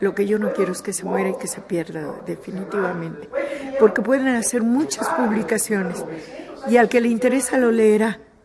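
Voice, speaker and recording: Against noticeable background noise, a woman talks at a moderate pace, her fairly high voice showing ordinary pitch variation. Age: 70s. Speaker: theatre director. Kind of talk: interview.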